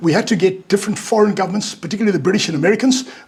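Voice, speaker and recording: Noticeable background noise runs through the clip. A man does the talking. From South Africa. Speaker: former security insider, speaker. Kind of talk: talk with Q&A. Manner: halting, many repetitions.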